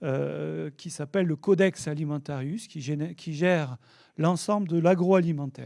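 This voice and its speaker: In a very clean recording with a silent background, a man with a high pitch and a dark, mellow tone speaks at a fairly slow pace with fairly even intonation. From southern France, south of the Loire. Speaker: oenologist and wine regulation expert. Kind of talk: conference talk. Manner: hesitant, many fillers.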